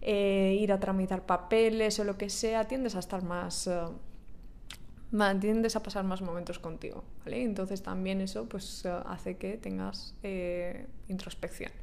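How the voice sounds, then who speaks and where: A woman's medium-pitched voice in a Spanish accent at a fairly slow pace, with audible room echo. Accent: Peninsular Spanish. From Spain. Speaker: podcaster. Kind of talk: casual monologue. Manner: animated; hesitant fillers.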